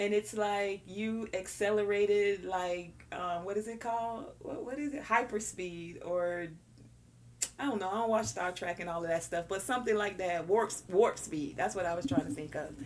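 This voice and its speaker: A woman with a slight Southern US accent talks at a moderate pace and medium pitch. Her tone is animated, with ordinary pitch variation. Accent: slight Southern twang. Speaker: tarot reader. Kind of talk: pick-a-card tarot reading. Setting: on camera.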